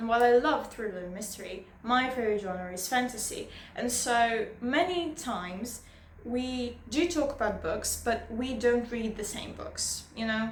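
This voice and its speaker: A woman at a fairly slow pace, with big swings in loudness, ordinary pitch variation and audible room echo. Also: fairly high pitch for a woman. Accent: non-native. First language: not English. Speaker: booktuber. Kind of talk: casual vlog monologue. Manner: halting.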